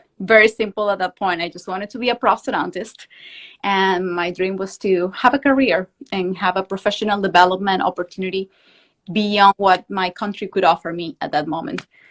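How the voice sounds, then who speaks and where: A woman with a Venezuelan accent and medium pitch, fairly quick and fairly even in intonation but with big swings in loudness, in a dry, close sound with no echo. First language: Spanish. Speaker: prosthodontics professor. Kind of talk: interview. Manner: fast.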